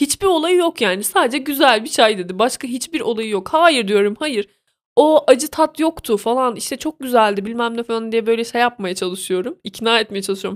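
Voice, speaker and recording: Speaking at a moderate pace, a woman with a high pitch makes very wide pitch swings in an animated tone, recorded dry and close with no echo. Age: 20s. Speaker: podcaster. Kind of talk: casual monologue.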